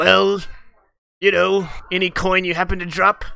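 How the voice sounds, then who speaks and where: This is a put-on character voice at a middle pitch. It moves at a moderate pace. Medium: actual play. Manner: shifty, wheedling, easily spooked.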